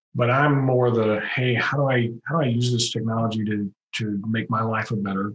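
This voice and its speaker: The speaker has an American accent and a somewhat breathy sound. The pace is moderate. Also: man. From Texas, Houston. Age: 50s. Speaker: contractor business coach. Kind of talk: podcast interview.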